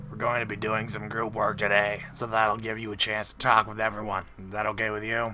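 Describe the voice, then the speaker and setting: In a put-on character voice, raspy and flat in a monotone, the speaker rushes along at a fairly quick pace with hardly any pauses over clear background noise. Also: man, medium pitch for a man. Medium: read story.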